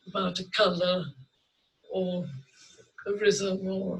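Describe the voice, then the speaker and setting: A raised, projected voice in a British accent speaks at a very slow pace. The intonation stays fairly even. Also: man. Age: 90s. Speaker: painter. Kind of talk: interview. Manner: halting.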